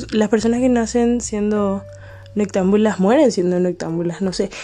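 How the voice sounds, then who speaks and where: A woman speaks at medium pitch with ordinary pitch variation over noticeable background noise. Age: 20s. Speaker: podcaster. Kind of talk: casual monologue. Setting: at home late at night.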